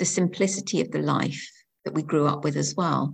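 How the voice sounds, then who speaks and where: A woman speaks at a moderate pace with a somewhat breathy voice. The background is quiet. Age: 50s. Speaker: education lecturer. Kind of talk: casual interview.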